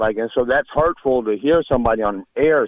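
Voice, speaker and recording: A man with an American accent speaks at a fairly quick pace and a medium pitch. He has a plain, everyday voice with ordinary pitch variation. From Nebraska. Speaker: caller. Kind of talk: call-in comment.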